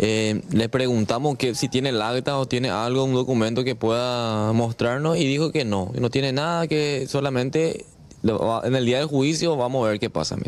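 A man speaks at a moderate pace and medium pitch, his pitch varying in an ordinary way.

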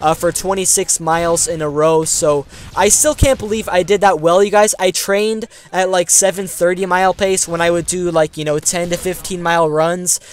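In an American accent, a high-pitched man speaks at a fairly slow pace. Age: young. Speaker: gaming YouTuber. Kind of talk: casual vlog commentary.

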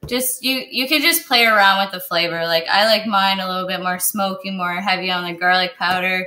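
At a fairly quick pace with hardly any pauses, a woman speaks in a medium-pitched voice with a bright, sharp tone and ordinary pitch variation. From Kitchener, Ontario; Ontario. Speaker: chef; guest. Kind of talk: casual chat and cooking demonstration. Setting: video call from her kitchen. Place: kitchen.

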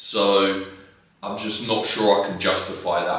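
A man's fairly low voice at a fairly slow pace, with strong room echo. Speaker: fitness vlogger. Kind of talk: casual vlog chat. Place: home room. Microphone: camera far.

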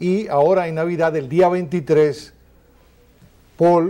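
A dark, mellow tone with flat, monotone intonation. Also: man. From Dominican Republic. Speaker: talk show host. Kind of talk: interview; interview question and host talk. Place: studio. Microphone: lapel.

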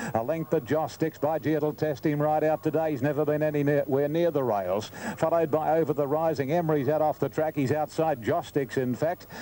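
A fairly high-pitched man in an Australian accent, fairly quick with hardly any pauses, fairly even intonation and very even loudness, over noticeable background noise. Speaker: race caller. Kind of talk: live commentary.

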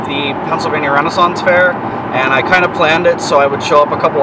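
Loud background noise surrounds a man talking at a fairly quick pace, his voice dry with no echo. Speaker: car vlogger. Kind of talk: casual vlog chat. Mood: excited. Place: car. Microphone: phone near.

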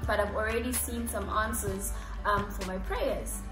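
Clear background music behind a woman speaking. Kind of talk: casual vlog chat about Bible study. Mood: warm, earnest. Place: home room.

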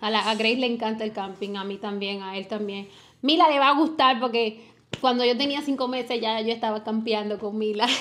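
In an unremarkable speaking voice, a woman talks at a fairly high pitch with ordinary pitch variation. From Dominican Republic. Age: 20s. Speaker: family vlogger. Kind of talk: casual chat. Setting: livestream at home.

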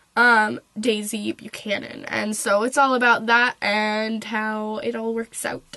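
Noticeable background noise beneath a woman's fairly high-pitched voice. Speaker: book reviewer. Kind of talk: casual book review to camera.

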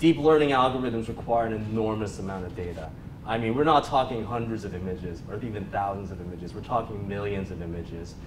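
A man speaks at a very fast pace and a fairly low pitch, with ordinary pitch variation. Noticeable background noise is present. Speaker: conference speaker. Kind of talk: lecture. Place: meeting room.

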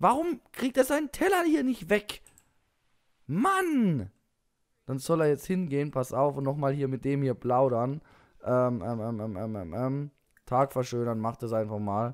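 A man speaks at a fairly slow pace with a fairly high pitch. His intonation is lively, broken by long, frequent pauses. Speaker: gaming YouTuber. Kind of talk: let's play commentary. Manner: casual, many filler sounds.

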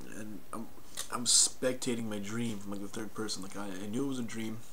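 Male voice with fairly even intonation and light background noise. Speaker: vlogger. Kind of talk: casual vlog chat. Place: home room. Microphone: headset.

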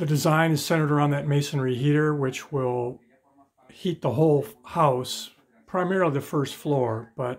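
At a moderate pace, a man speaks with fairly even intonation. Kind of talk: casual tour commentary. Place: home room. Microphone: phone near.

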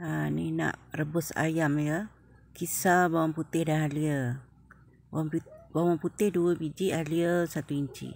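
A woman speaks with a very deep, low pitch and fairly even intonation, at a very slow pace. The sound is dry, with no echo. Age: old. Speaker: cooking vlogger. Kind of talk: cooking tutorial. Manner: casual. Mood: relaxed, friendly. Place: kitchen. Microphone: phone near.

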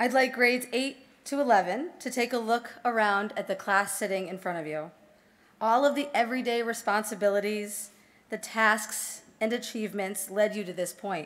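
Ordinary pitch movement from a woman speaking at a medium speed. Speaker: speaker. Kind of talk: formal ceremony address. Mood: formal, earnest. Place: hall.

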